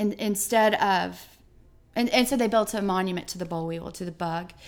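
A woman in an Alabama accent, with fairly even intonation and a moderate pace. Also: very clean recording, silent background. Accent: Southern US (Alabama). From US South, southeast Alabama. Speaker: artist and educator. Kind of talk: interview conversation. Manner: halting.

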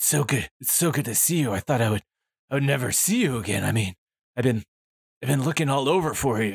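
Using a put-on character voice, a man talks very fast in a raspy, medium-pitched voice with long, frequent pauses, recorded dry and close with no echo. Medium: actual play. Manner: breathless, gushing, repetitive.

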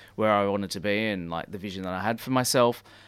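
A man with an Australian accent, fairly low pitch and ordinary pitch variation, on a very clean recording with a silent background. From Sydney, Australia (northern beaches). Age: 30s. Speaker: fashion designer and business owner. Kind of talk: casual interview chat. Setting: radio studio.

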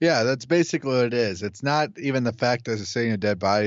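A man's plain, everyday voice with lively intonation. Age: 20s. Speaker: podcast co-host, film reviewer. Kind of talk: casual chat. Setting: Skype call.

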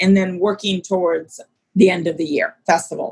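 Somewhat breathy and medium in pitch, a woman speaks with an American accent. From US, Maryland (childhood in Nigeria 6-15). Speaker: arts nonprofit executive director. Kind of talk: interview.

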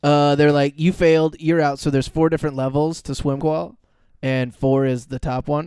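A man with an American accent, a dark, mellow tone, fairly high pitch, fairly even intonation and a moderate pace. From California. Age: 30s. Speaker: comedian. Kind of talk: casual chat. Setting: studio.

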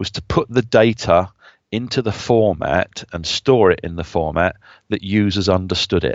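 This is a man with a southern English accent. His pitch is fairly low. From southern England, Brighton. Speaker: business intelligence consultant. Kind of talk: interview.

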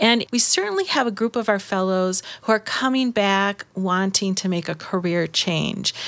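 A woman talks at a moderate pace in an ordinary speaking voice. The recording is very clean, with a silent background. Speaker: program executive director. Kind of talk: interview.

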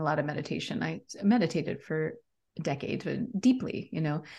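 This woman has a normal speaking voice, fairly low in pitch. Her intonation is lively and her pace moderate. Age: 50s. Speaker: leadership coach and author. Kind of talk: interview.

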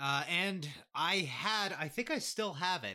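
Bright, sharp tone from a man, very clean recording, silent background. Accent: Canadian. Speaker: podcast host. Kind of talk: casual chat.

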